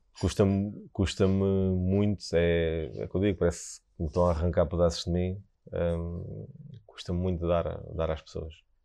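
A man's very deep, low voice in a European Portuguese accent, with fairly even intonation. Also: moderate pace. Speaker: Michelin-starred chef. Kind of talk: casual interview chat. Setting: restaurant site under construction.

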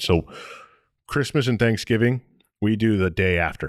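A man speaks with an American accent. His pitch varies in an ordinary way. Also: very clean recording, silent background. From Michigan (Detroit and Toledo area). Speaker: podcast co-host. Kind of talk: casual chat.

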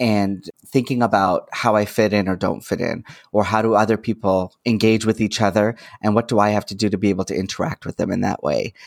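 A man with a Canadian accent at a fairly quick pace, fairly even intonation, a dry, close sound with no echo, and a very clean recording with a silent background. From Toronto, Canada. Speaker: social worker and psychotherapist. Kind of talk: casual interview conversation.

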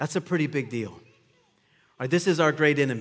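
A man speaks in a normal speaking voice with a fairly high pitch and ordinary pitch variation. The recording is very clean, with a silent background. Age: 40s. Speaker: pastor. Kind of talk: sermon. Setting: church.

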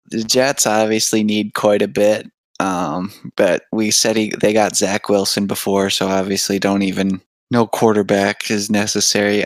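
Fairly low in pitch, a man talks at a fairly slow pace in a plain, everyday voice. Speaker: podcast co-host. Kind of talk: casual chat.

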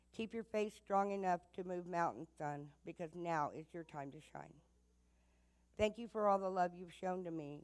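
A woman's fairly low-pitched, ordinary speaking voice, with fairly even intonation and a moderate pace. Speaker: mother. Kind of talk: poem reading. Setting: church.

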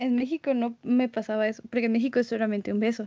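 A woman speaks in a Mexican accent. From Mexico. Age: 20s. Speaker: French tutor. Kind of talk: interview.

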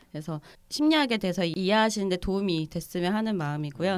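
The speech comes at a very fast pace with lively intonation. The recording is very clean, with a silent background. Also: woman. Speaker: clinical psychologist. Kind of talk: casual chat, explaining.

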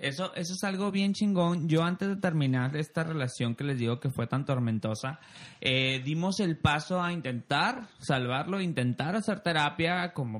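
With an unremarkable speaking voice, a man talks at a fairly slow pace, his fairly high pitch carrying lively intonation. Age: 30s. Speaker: podcast host. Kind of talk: casual chat.

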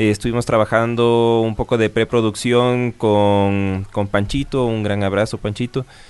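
A man's medium-pitched voice, fairly slow and monotone with flat intonation, very even loudness and hardly any pauses. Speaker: punk band guitarist. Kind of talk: interview.

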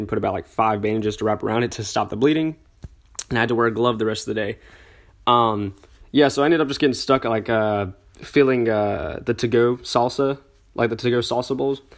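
Pitch shifts in an ordinary way as a man speaks very fast. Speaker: podcast host. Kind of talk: casual solo monologue. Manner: hesitant, many fillers.

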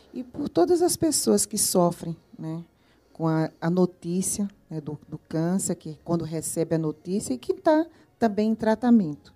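A woman's fairly low, dark and mellow voice, fairly slow in pace, with lively intonation and big swings in loudness. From Recife, Pernambuco, Brazil. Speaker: cancer survivor, integrative therapist. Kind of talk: testimony. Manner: laughs often when greeting.

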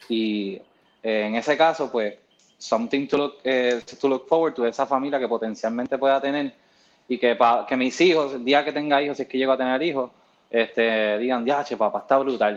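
The man has an unremarkable speaking voice at medium pitch, with fairly even intonation. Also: moderate pace. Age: 30s. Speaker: CrossFit coach. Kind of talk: casual chat.

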